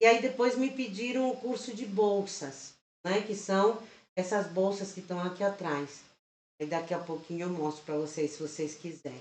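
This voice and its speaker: A woman's voice sits at a medium pitch, her intonation lively. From Chile. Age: 50s. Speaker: crochet teacher and channel host. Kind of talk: live stream tutorial chat. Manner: slow.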